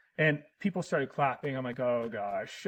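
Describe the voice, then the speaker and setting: A man with very wide pitch swings. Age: 30s. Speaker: actor and disc golfer, podcast guest. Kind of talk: casual chat. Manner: halting.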